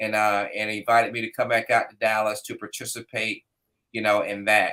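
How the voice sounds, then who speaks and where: Heard on a very clean recording with a silent background, a man with an American accent has a bright, sharp tone. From US South, Florida (Fort Pierce). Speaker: business owner and motorcycle rider, former English teacher. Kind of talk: casual chat.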